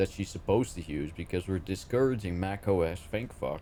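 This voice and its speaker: A man speaks with a Dutch accent. His intonation is lively and his pace fairly quick. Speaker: IT worker at a school, gaming co-host. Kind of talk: casual chat. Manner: higher pitch in English.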